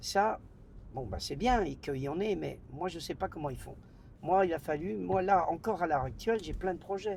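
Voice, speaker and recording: The man's voice is high and his intonation lively. He keeps a moderate pace. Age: 70s. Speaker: nightclub owner. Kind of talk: interview conversation. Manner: casual, slangy; halting, repetitions.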